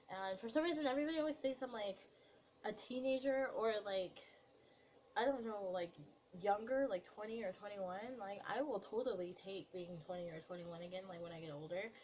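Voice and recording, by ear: A woman talks at a fairly quick pace and medium pitch. Her voice is nasal with a slightly mellow tone. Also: ordinary pitch variation.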